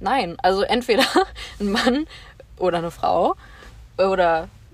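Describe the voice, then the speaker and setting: Her voice is that of a woman at a medium pitch. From western Germany, Bonn. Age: 20s. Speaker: social worker. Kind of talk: casual chat.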